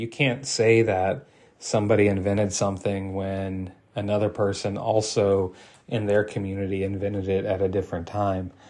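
A man with a fairly low pitch and a plain, everyday voice talks at a moderate pace on a very clean recording with a silent background. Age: 30s. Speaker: archery podcast host. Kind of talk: solo podcast monologue. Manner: frequent fillers, conversational.

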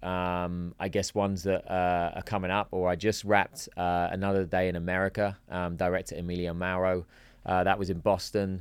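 The speaker has an English accent and talks at a moderate pace in a monotone, flat intonation. The recording is very clean with a silent background. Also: man. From England. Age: 40s. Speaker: actor and entrepreneur. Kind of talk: casual chat.

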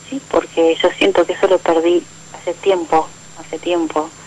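Fairly even intonation carries the speech at a moderate pace over noticeable background noise. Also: woman. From Argentina, Buenos Aires area. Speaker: radio caller. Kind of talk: phone call-in conversation.

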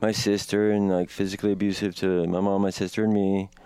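A man with an American accent talks at a fairly quick pace in a dark, mellow tone, his fairly low pitch delivered in a flat monotone. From Washington, D.C. area. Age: 30s. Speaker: student in recovery. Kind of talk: testimony.

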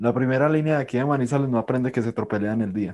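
This very clean recording, with a silent background, captures a man's dark, mellow tone. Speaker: podcast host. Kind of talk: casual interview.

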